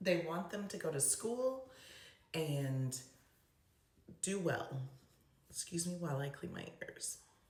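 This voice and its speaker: Over noticeable background noise, the speech moves at a very slow pace with long, frequent pauses and lively intonation. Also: woman, fairly low pitch for a woman. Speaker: special education advocate. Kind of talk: casual talk to camera. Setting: bathroom.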